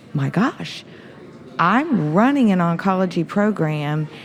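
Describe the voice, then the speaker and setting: A woman's fairly low-pitched, animated voice at a fairly slow pace, with music in the background. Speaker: cancer center administrator. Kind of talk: interview. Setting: conference.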